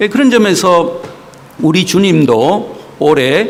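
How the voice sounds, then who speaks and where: Amid noticeable background noise and audible room echo, a man speaks very slowly with very wide pitch swings. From South Korea, Gyeongsang (Daegu), then Seoul. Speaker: visiting pastor. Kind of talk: sermon. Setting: church. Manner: many filler sounds (어, 예).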